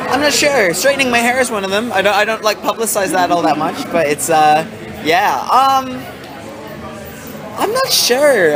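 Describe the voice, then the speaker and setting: Crowd noise and audible room echo fill the background as a man with an American accent speaks. His pitch is high, his intonation lively and his pace moderate. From United States. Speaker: rock band singer. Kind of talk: casual interview.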